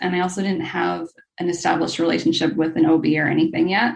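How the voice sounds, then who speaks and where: A woman talks with an American accent. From USA. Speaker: new mother sharing birth story. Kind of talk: interview.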